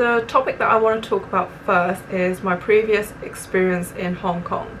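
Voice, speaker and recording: Over noticeable background noise, a woman with a medium pitch and ordinary pitch variation speaks at a moderate pace. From England. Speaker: vlogger. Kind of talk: casual vlog talk. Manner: casual, occasional stumbling.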